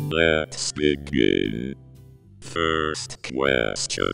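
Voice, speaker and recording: Over clear background music, a man puts on a character voice with a very deep, low pitch. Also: lively intonation. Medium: comedy sketch. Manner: curt, deadpan.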